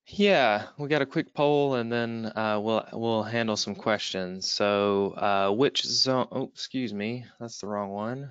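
Using a Southern US accent, a man speaks at a very slow pace and medium pitch, with ordinary pitch variation and hardly any pauses. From US Southeast. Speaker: webinar moderator. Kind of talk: webinar moderation. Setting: online webinar.

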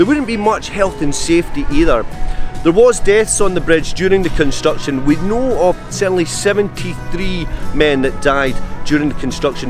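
A man speaks at a moderate pace with lively intonation. Clear music plays in the background, and the sound is dry with no echo. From Scotland. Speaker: local history guide. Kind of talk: documentary interview, talking to camera on location. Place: waterside. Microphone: lapel.

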